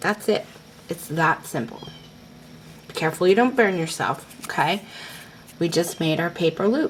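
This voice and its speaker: Long, frequent pauses break up this woman's speech over noticeable background noise. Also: fairly low pitch for a woman, moderate pace. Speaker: crafting tutorial host. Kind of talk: tutorial. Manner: casual, filler words.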